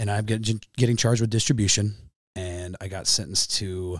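On a very clean recording with a silent background, a man with a fairly low pitch and an ordinary speaking voice talks at a moderate pace with fairly even intonation. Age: 30s. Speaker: professional boxer. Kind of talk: casual chat.

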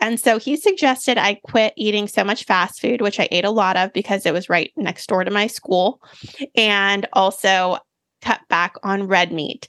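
A woman with an American accent and a plain, everyday voice, medium in pitch, at a moderate pace with ordinary pitch variation. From US, Mexican and Japanese family. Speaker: plant-based cooking author. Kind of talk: interview conversation.

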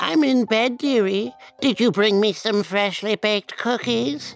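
A female-sounding voice at medium pitch puts on a character voice. It moves at a moderate pace with faint music in the background. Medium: comedy sketch.

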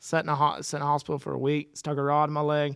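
On a very clean recording with a silent background, the speaker uses an American accent and a fairly quick pace. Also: man. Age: 30s. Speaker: professional bull rider. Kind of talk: casual chat.

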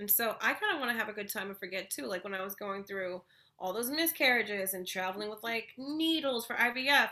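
The delivery is animated, with lively intonation and a fairly quick pace. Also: woman, fairly high pitch for a woman. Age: 40s. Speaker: comedian. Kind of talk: casual chat.

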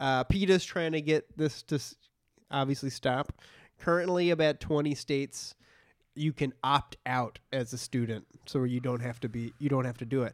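A man uses a plain, everyday voice, fairly high in pitch, with ordinary pitch variation at a moderate pace. The recording is very clean with a silent background, with a dry, close sound with no echo. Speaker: comedy podcast co-host. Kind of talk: casual chat.

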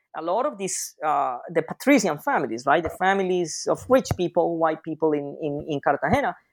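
A man speaks at a fairly quick pace with a Spanish accent. His pitch is fairly high, his intonation lively, and the background is quiet. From Colombia, Andean highlands. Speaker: history professor. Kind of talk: interview. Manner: halting, many fillers.

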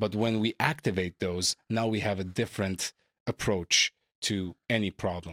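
In a very clean recording with a silent background and a dry, close sound with no echo, a man with a strong Armenian accent and a fairly low pitch speaks at a moderate pace with very even loudness and fairly even intonation. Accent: thick Armenian-accented English. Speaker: podcast host and entrepreneur. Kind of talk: casual interview conversation.

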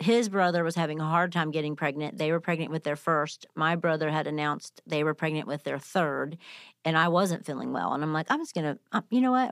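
A woman with a very deep, low pitch talks at a fairly quick pace, recorded very cleanly against a silent background with a dry, close sound and no echo. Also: ordinary pitch variation. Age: 50s. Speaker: nonprofit co-founder and author. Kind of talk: casual chat.

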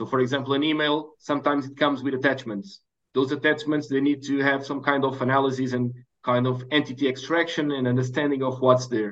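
The intonation is monotone and flat, in a Portuguese accent. The pace is very fast. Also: man, fairly high pitch for a man. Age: 30s. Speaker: startup founder. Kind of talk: interview.

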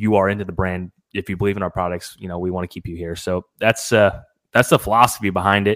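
With an unremarkable speaking voice, a man talks at a fairly quick pace in a fairly low pitch with fairly even intonation, the sound dry and close with no echo on a very clean recording with a silent background. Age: 20s. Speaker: trail camera company representative and hunter. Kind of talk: casual interview chat.

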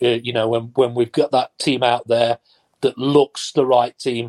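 A speaker with an East Midlands accent talks in a flat monotone, the sound dry and close with no echo. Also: man. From Nottingham, England. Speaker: former footballer and pundit. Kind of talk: casual chat.

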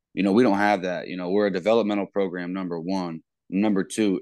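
A man with a very deep, low voice and a Midwestern American accent, talking very fast with fairly even intonation over a quiet background. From Ohio, US Midwest. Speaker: college football coach. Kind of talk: casual interview.

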